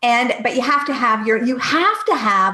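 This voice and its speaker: At a moderate pace and with ordinary pitch variation, a woman with a Canadian accent speaks in an unremarkable speaking voice. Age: 50s. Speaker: entrepreneur and business coach. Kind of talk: podcast interview.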